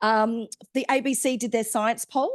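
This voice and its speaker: A woman speaks with an Australian accent. The background is quiet. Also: dry, close sound with no echo. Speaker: science outreach organiser. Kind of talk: stakeholder briefing presentation. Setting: hybrid meeting, in person and online. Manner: loud; hesitant, many fillers.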